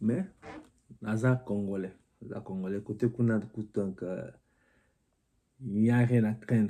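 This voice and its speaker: Delivered in a dark, mellow tone, the voice moves at a very slow pace with fairly even intonation and long, frequent pauses. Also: man, fairly low pitch for a man. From DR Congo. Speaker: political commentary vlogger. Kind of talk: casual political commentary and reading viewer comments.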